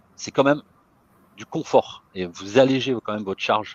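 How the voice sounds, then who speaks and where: The speaker's intonation is lively. No echo is heard, and the sound is dry and close. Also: man. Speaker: IT consultant. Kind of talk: webinar presentation. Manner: fast.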